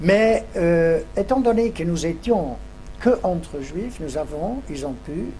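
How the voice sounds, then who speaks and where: Music plays in the background as a high-pitched man speaks very slowly with lively intonation and audible room echo. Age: 80s+. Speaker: Holocaust survivor giving testimony. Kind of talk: testimony answering school pupils' questions. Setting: classroom with pupils. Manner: halting, with many hesitations.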